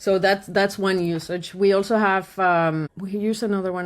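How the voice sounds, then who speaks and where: A woman speaks at a medium pitch with a Spanish accent. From Colombia. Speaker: podcast host and marketing agency owner. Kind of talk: casual podcast interview.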